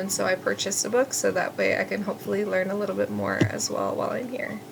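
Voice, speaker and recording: A woman speaks fairly quickly as noticeable background noise continues. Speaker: student teacher. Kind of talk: class presentation. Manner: fast when excited; hesitant, many fillers.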